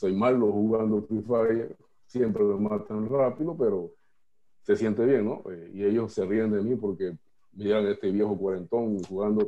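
Fairly slow and even in intonation, a man speaks at a fairly low pitch. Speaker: workshop participant. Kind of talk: personal sharing in workshop. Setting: video call.

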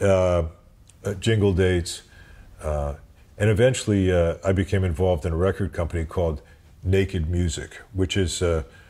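Somewhat breathy, with a dark, mellow tone, a man with an American accent speaks at a moderate pace in a very deep, low voice with ordinary pitch variation. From US Midwest (St. Louis, Missouri). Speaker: amplifier company executive and former session bassist. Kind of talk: interview. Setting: in person at a music shop. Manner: halting, many fillers.

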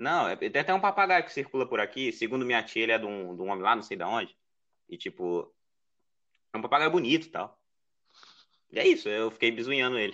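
A man speaks very fast in a northeastern Brazilian accent, broken by long, frequent pauses. His medium pitch swings very widely, and his loudness swings a lot. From Ceará, Brazil (Northeast). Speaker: podcast editor and illustrator. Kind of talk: casual chat.

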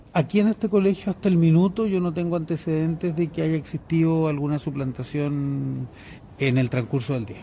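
A man's fairly high-pitched voice carries a dark, mellow tone and ordinary pitch variation. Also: moderate pace. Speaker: party poll watcher. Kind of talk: interview.

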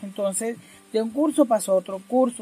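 A somewhat breathy woman at a moderate pace. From Colombian Caribbean coast, Barranquilla. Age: 50s. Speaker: community leader. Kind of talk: personal testimony. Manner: halting.

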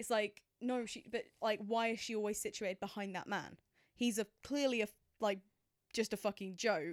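A woman with an English accent speaks at a fairly high pitch with fairly even intonation in a very clean recording with a silent background. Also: moderate pace. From England. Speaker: film podcast co-host. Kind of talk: casual chat. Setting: home spare bedroom office.

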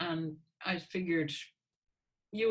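Speaking with an American accent, a woman sounds somewhat breathy. Her intonation is lively. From US Northeast, Hartford, Connecticut. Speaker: composer. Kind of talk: interview.

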